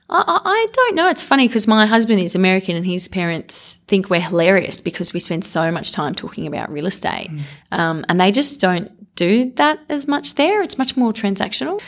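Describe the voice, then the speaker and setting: In an Australian accent, a woman with a medium-pitched voice talks at a fairly quick pace with very wide pitch swings. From Australia (Canberra). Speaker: real estate media executive. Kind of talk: interview conversation.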